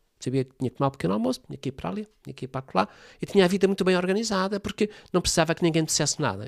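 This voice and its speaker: The recording is very clean, with a silent background and a dry, close sound with no echo. A man speaks with a high voice that swings very widely in pitch. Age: 70s. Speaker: family constellations therapist. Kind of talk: interview conversation.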